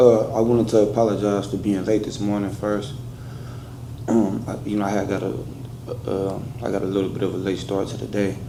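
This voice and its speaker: A man speaks fairly quickly at a fairly low pitch with fairly even intonation and long, frequent pauses, amid noticeable background noise and audible room echo. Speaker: defendant. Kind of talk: courtroom statement. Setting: courtroom. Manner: halting.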